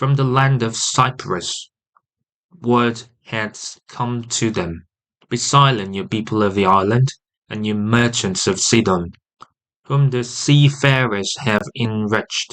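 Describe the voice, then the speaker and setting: A man with a British accent speaks at a very slow pace, at a medium pitch and with ordinary pitch variation. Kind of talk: audio Bible reading.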